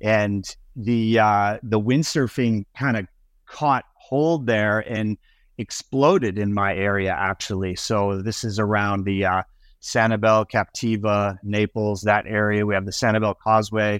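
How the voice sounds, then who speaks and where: An ordinary speaking voice from a man with an American accent, at a fairly slow pace with fairly even intonation, dry and close with no echo, against a quiet background. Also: fairly low pitch for a man. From US Midwest and Florida. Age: 50s. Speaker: windsurf sail and wing designer. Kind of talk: casual interview. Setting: remote call from home.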